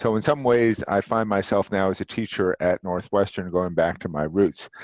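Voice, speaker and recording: With a quiet background and a dry, close sound with no echo, a man speaks at a moderate pace in a fairly low pitch with ordinary pitch variation, an ordinary speaking voice. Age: 60s. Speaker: marketing professor and former executive. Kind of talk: interview.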